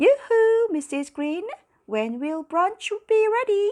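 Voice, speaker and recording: Using a squeaky, put-on character voice, a woman speaks at an extremely high pitch with very wide pitch swings at a fairly slow pace. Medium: read story.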